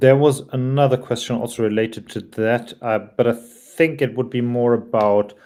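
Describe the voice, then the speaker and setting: With a non-native accent, a man talks in a fairly even intonation. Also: very clean recording, silent background. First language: not English. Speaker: livestream moderator. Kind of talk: livestream Q&A moderation. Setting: live stream.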